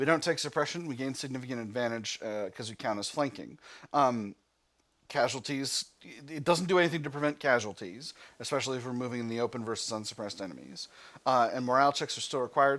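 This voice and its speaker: On a very clean recording with a silent background, a man with an American accent speaks at a very fast pace in a medium pitch with ordinary pitch variation. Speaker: gaming video creator. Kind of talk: let's play commentary with reading aloud. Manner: casual with frequent fillers.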